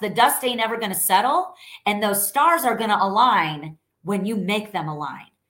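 Vocal fry marks the voice of a woman speaking with an American accent. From New York. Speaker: sales coach. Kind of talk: live stream sales training. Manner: loud; animated.

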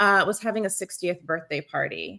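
At a moderate pace, a woman with a medium pitch talks in an unremarkable speaking voice, on a very clean recording with a silent background. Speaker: podcast host. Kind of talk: interview conversation.

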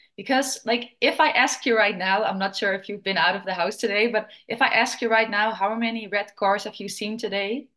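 Against a quiet background, a woman with a fairly high, bright, sharp voice talks at a fairly quick pace with hardly any pauses and fairly even intonation. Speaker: fitness and mindset coach. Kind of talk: casual chat.

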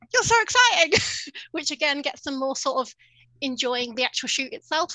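Very wide pitch swings in a woman's high voice, delivered at a moderate pace. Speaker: dog photographer. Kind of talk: podcast interview.

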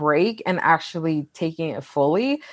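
A woman is speaking. Her pitch sits fairly low. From US West Coast, Los Angeles area (Wilmington). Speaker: author. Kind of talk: interview.

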